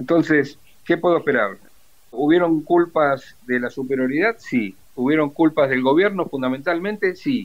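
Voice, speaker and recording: An ordinary speaking voice from a man, fairly high in pitch, with lively intonation at a moderate pace. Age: 60s. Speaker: retired naval officer and war veteran. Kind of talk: interview testimony.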